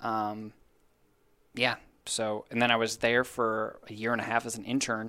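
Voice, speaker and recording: At medium pitch and a moderate pace, a man with an American accent speaks in a bright, sharp tone and monotone, flat intonation, with long, frequent pauses, on a very clean recording with a silent background. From Minnesota. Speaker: sports team digital content manager. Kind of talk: casual interview chat.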